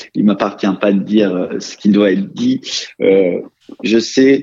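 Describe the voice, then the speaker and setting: A man's voice, fairly low in pitch. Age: 30s. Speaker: real estate executive. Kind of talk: interview. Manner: hesitant, many fillers.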